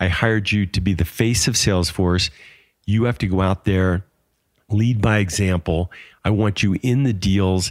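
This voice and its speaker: With an unremarkable speaking voice, a man talks at a moderate pace and fairly low pitch, his intonation fairly even and his loudness very even, in a dry, close sound with no echo on a very clean recording with a silent background. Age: 60s. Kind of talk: casual chat. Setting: in a home bar.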